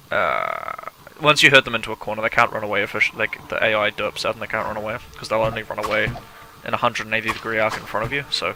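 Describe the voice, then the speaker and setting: Music plays behind a man who talks very fast. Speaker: gaming video creator. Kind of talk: gameplay commentary. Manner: casual, chatty.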